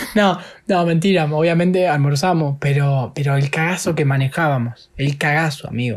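At a moderate pace, a man speaks in a fairly high, somewhat breathy voice with ordinary pitch variation and very even loudness. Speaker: podcast co-host. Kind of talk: casual chat.

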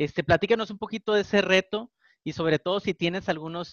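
A man is speaking. His pace is moderate. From Mexico, Tijuana. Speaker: podcast co-host. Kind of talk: interview.

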